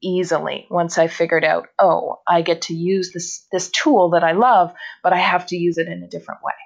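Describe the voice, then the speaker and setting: At a moderate pace, a plain, everyday voice speaks with a Canadian accent. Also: woman. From northern Canada. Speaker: phone communication consultant. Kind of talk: interview.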